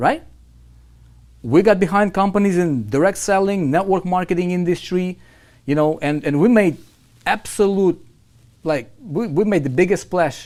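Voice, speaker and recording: Speaking at a moderate pace, a man has a high pitch and an animated tone. He leaves long, frequent pauses. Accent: non-native. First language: not English. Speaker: online marketing coach. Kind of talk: live webinar sales pitch. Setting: live online stream. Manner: animated, repetitive.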